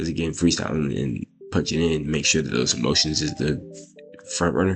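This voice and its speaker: With music in the background, a man of very deep, low pitch speaks at a fairly quick pace with ordinary pitch variation. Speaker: rapper and video creator. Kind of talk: casual Q&A vlog. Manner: rambling with many fillers.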